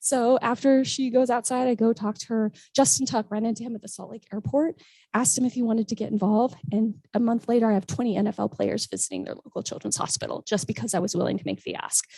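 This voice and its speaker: A woman with a fairly high pitch speaks at a very fast pace with ordinary pitch variation. Her tone is dark, mellow and somewhat breathy, and the sound is dry and close with no echo. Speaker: motivational speaker and charity fundraiser. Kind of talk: conference talk.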